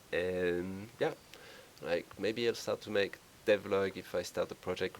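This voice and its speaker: Man with a French accent, very deep and low in pitch, at a moderate pace. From France. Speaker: indie game developer. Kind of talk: devlog walkthrough. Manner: halting, many fillers. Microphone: poor cheap microphone.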